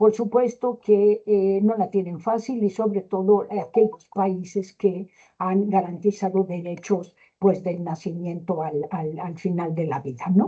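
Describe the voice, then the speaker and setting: Ordinary pitch variation runs through this fairly slow delivery. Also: woman, medium pitch for a woman. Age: 60s. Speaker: gerontology expert speaker. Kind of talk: lecture. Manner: hesitant, many fillers.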